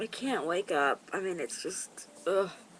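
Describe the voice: Speaking at a fairly slow pace, a woman uses lively intonation in a fairly low pitch.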